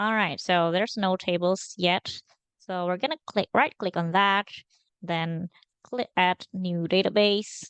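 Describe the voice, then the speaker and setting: A woman speaks with a non-native accent at a fairly slow pace and medium pitch. Her pitch varies in an ordinary way, and the sound is dry and close with no echo. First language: not English. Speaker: data engineering intern. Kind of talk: screen-recorded tutorial. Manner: halting, many fillers.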